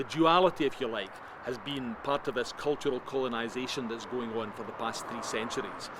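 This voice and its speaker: Over noticeable background noise, a man speaks with a Scottish accent at a fairly quick pace and with fairly even intonation. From Scotland. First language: Scots. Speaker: interviewee, Scottish cultural nationalist. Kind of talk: interview.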